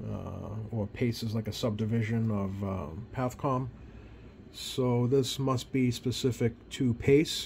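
Over light background noise, a somewhat breathy man speaks at a very slow pace with ordinary pitch variation. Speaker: radio hobbyist. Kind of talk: casual hobby walkthrough. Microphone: phone near.

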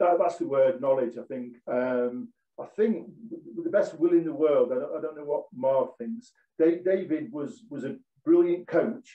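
In a room with audible echo and a quiet background, a fairly high-pitched man speaks at a fairly slow pace with big swings in loudness. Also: lively intonation. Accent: East Midlands. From Nottinghamshire, English East Midlands (Mansfield); English East Midlands. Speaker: former professional footballer; guest. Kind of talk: casual interview chat. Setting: video call. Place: home room. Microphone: video call.

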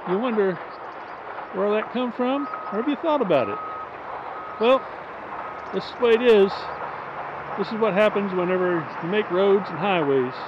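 The pace is moderate, with long, frequent pauses. The sound is dry with no echo, and background noise is noticeable. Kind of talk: casual vlog chat. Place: open country. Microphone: phone near.

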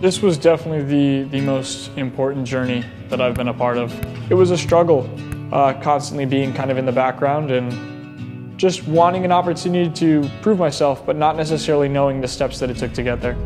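Music plays in the background as a man talks at a fairly quick pace. His pitch varies in an ordinary way. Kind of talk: interview answer. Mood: reflective, earnest. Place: stadium.

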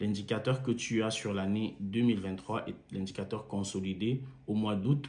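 A man at a fairly low pitch, speaking at a fairly slow pace with ordinary pitch variation. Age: 30s. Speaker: engineer and car-sharing entrepreneur promoting a course. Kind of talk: sales pitch. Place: home room. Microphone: phone near.

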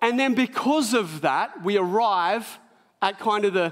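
The background is quiet while a man talks. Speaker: pastor preaching. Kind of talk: sermon. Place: church.

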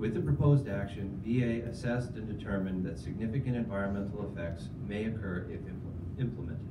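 With noticeable background noise behind it, the speech runs at a fairly quick pace with lively intonation and hardly any pauses. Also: man, fairly low pitch for a man. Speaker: federal environmental engineer presenter. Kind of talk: formal presentation.

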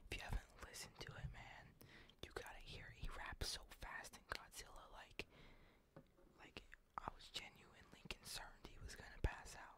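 Whispering at a moderate pace, a man leaves long, frequent pauses and shows big swings in loudness. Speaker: ASMR content creator playing a game store clerk. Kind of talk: comedic game store roleplay, casual talk to camera.

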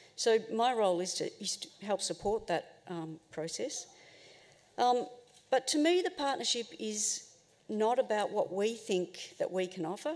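The woman's speech has ordinary pitch variation. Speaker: presenter. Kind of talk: forum talk. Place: hall. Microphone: podium.

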